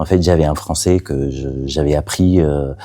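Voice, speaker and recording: The recording is very clean, with a silent background. The tone is dark and mellow, and the pace is fairly slow. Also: man. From Catalonia, Spain. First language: Catalan (speaking French). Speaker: playwright. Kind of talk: interview. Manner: halting, many hesitations.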